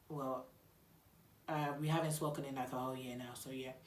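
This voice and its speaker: A woman's animated tone in audible room echo. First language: not English. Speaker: YouTuber. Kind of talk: storytime vlog. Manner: casual, animated.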